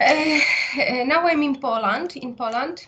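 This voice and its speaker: A woman speaks in a Ukrainian accent at a very slow pace. Her pitch varies in an ordinary way. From Ukraine, Lviv. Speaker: psychotherapist and university teacher. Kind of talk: interview. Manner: halting, many fillers.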